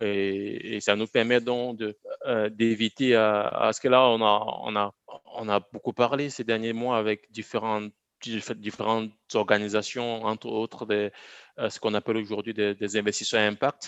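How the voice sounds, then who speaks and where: A man's fairly low-pitched, monotone delivery with flat intonation, at a fairly slow pace against a quiet background. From Cameroon (Bafoussam, Central Africa). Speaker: agricultural education entrepreneur. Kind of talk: interview. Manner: halting, repeats words.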